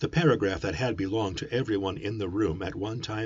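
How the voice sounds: The clip features a natural reading voice.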